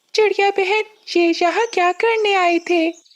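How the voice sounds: A squeaky, cartoonish character voice at an extremely high pitch and a fairly slow pace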